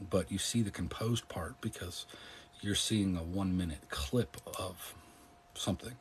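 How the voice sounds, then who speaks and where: At a moderate pace, a man with a very deep, low voice speaks somewhat breathily, with ordinary pitch variation. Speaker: political commentator and live streamer. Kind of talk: casual chat. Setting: live stream. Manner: calm.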